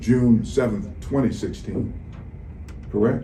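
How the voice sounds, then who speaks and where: Audible room echo surrounds a man's medium-pitched voice with its dark, mellow tone. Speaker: attorney. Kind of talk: courtroom cross-examination. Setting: courtroom. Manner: loud.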